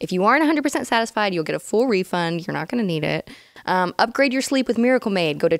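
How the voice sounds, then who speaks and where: Very fast speech with very wide pitch swings, in a dry, close sound with no echo. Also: woman, medium pitch for a woman. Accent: slight Texan. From Dallas, Texas. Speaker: podcast co-host reading an ad.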